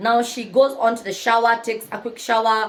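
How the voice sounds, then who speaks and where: Over noticeable background noise, a woman speaks fairly quickly with a fairly high pitch and an animated tone. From Kenya. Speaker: book narrator and YouTuber. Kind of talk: storytelling retelling of a novel. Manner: loud.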